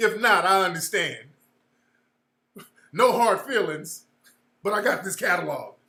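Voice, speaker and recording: A man with a high pitch raises and projects his voice in an animated, bright and sharp tone, with ordinary pitch variation and long, frequent pauses. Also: fairly slow pace. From California. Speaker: livestream host and social commentator. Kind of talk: casual livestream commentary. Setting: livestream with chat room.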